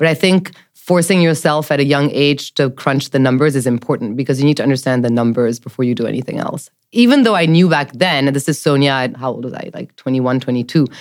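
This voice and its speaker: A woman with a French accent speaks at a very deep, low pitch. Her pace is very fast, with hardly any pauses. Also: ordinary pitch variation. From mixed: Jakarta, Tokyo, New York, Paris. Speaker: venture capital investor. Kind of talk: interview chat.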